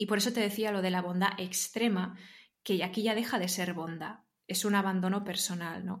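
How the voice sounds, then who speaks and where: Medium pitch from a woman, flat and monotone at a moderate pace, with audible room echo. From Spain, Barcelona. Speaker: interview guest sharing personal growth story. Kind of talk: casual interview conversation.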